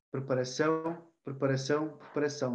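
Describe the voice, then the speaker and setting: A man talks in an ordinary speaking voice, pitched fairly high. His pace is moderate and his intonation fairly even. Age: 20s. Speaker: personal development trainer and psychology student. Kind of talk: casual interview.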